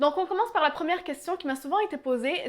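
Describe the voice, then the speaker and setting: A woman's voice with lively intonation over noticeable background noise. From Quebec, Canada. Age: 20s. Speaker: YouTuber. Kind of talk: casual Q&A vlog.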